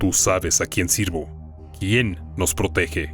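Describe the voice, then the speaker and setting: Clear music plays as a man booms in a put-on character voice. His pitch is very deep and low, and his pace is fairly slow. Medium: audio drama.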